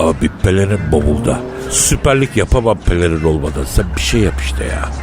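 Over loud background noise, a man puts on a character voice that is very deep and low, speaking at a moderate pace.

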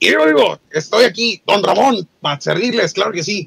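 A put-on character voice carries the speech. It keeps a moderate pace. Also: man, high pitch for a man. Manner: cheerful, enthusiastic.

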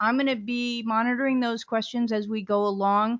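The setting is quiet. A woman talks at a moderate speed. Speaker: webinar host, moderator. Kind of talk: webinar housekeeping announcements. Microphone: video call.

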